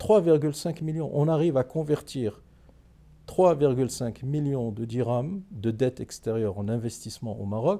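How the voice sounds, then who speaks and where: Very slowly, a man speaks in a dark, mellow tone. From Morocco. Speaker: economist and politician; politician. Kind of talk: interview. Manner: formal. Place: studio.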